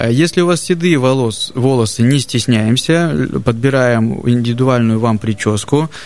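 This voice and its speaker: This is an ordinary speaking voice at a fairly slow pace, with ordinary pitch variation. The loudness stays very even, with hardly any pauses. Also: man, medium pitch for a man. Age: 30s. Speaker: barber. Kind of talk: casual chat.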